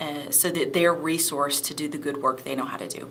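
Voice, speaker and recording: A woman with a Southern accent speaks at a very deep, low pitch in a monotone, flat intonation, with audible room echo and noticeable background noise. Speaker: ministry executive director. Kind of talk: panel discussion. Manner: hesitant with fillers.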